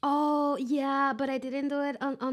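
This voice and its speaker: A woman's high-pitched voice with a non-native accent at a fairly slow pace, on a very clean recording over a silent background. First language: not English. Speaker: vtuber reacting to memes. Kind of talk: reaction video commentary. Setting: recorded offline, not streamed. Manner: halting, repeating words.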